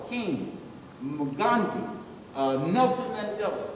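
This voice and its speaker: Over noticeable background noise and audible room echo, a man with an American accent speaks at a moderate pace with lively intonation. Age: 60s. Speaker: pastor. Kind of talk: panel discussion.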